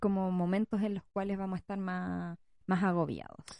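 A woman speaks with a Chilean accent in a dark, mellow tone. The sound is dry and close, with no echo. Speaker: podcast co-host, parent. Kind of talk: casual chat.

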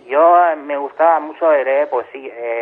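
A man's intonation stays fairly even as he talks fairly slowly. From Catalonia. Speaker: poet. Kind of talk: interview. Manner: halting.

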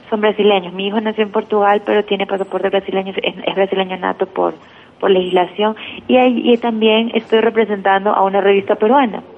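A woman's medium-pitched voice at a fairly quick pace, fairly even in intonation, with noticeable background noise. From Ecuador, Guayaquil. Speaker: journalist. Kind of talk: interview.

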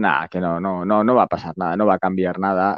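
With a very deep, low pitch, a man talks at a fairly quick pace and keeps his intonation fairly even. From Basque Country, Spain. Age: 50s. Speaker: lawyer and YouTuber. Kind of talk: interview. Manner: casual.

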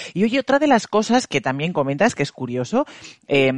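A man talks at a fairly quick pace with very wide pitch swings, recorded dry and close with no echo. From La Rioja, Spain. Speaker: podcast host. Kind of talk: interview.

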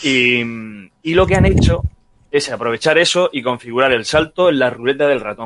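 An unremarkable speaking voice from a man at a moderate pace. His intonation is lively. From Murcia, Spain. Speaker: video game podcast guest. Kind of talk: casual chat.

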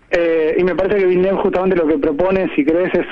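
A man talks at a fairly quick pace with a high pitch. Noticeable background noise runs behind him. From Argentina, Dolores (Buenos Aires province). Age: 30s. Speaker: film director. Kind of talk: radio interview.

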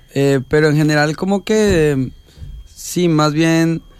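Ordinary pitch variation shapes an unremarkable speaking voice. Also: man. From Colombia, Cundinamarca. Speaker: singer-songwriter. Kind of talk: radio interview. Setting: small radio studio.

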